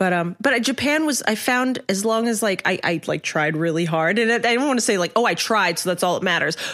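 A woman speaks in a normal speaking voice at medium pitch and a fairly quick pace. Her loudness is very even, and she hardly pauses at all. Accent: American. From Hong Kong and US. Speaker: writer. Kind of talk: casual interview chat.

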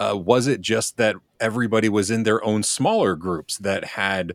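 Recorded very cleanly against a silent background, dry and close with no echo, a man uses an ordinary speaking voice at a moderate pace with ordinary pitch variation. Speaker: podcast guest. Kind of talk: casual chat.

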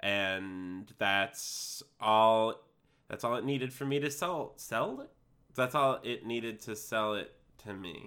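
A man talks at a very slow pace in a bright, sharp tone. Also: medium pitch for a man, ordinary pitch variation, very clean recording, silent background. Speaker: podcast co-host. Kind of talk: casual banter. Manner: theatrical radio-style voice when introducing.

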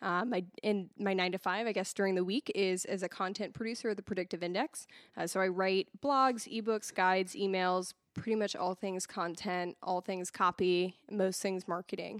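A woman with an ordinary speaking voice and medium pitch talks at a moderate pace with fairly even intonation, the sound dry and close with no echo. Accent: American. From Massachusetts (Haverhill). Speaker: church assimilation director and content producer. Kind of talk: casual podcast interview.

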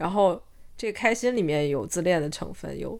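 On a very clean recording with a silent background, a woman speaks fairly quickly at a medium pitch with lively intonation. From China. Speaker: podcast co-host. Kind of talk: casual chat. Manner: halting, many fillers and restarts.

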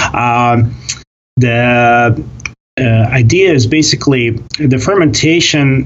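A man's medium-pitched, somewhat breathy voice with a Russian accent, ordinary pitch variation and audible room echo. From Russia (Soviet Union). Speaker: kvass brewer. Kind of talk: interview. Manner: halting, many fillers.

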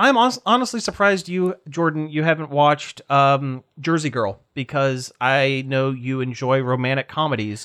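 In an unremarkable speaking voice with an American accent, someone talks at a moderate pace with ordinary pitch variation and hardly any pauses against a quiet background. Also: man, fairly high pitch for a man. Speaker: podcast host. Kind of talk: casual chat.

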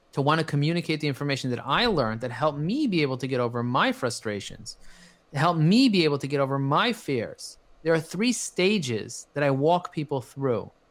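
A man with a plain, everyday voice talks at a moderate pace and fairly high pitch with lively intonation, recorded very cleanly against a silent background. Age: 40s. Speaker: marketing agency CEO and business coach. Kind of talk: interview.

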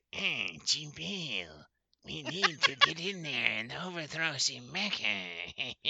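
A raspy, put-on character voice at a middle pitch, delivered at a very slow pace. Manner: evil, villainous.

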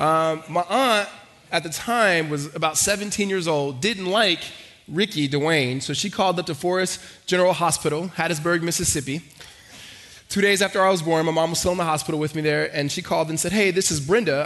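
A man speaks at a high pitch with ordinary pitch variation. Noticeable background noise sits behind him. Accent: American. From Los Angeles. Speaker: pastor. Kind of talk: sermon. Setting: church. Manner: fast talker.

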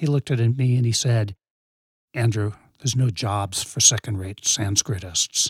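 In a very clean recording with a silent background and a dry, close sound with no echo, a man with an American accent speaks at a medium pitch and a moderate pace, somewhat breathy, with ordinary pitch variation. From New England, west of Boston. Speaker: professor. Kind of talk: casual chat. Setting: studio, in person.

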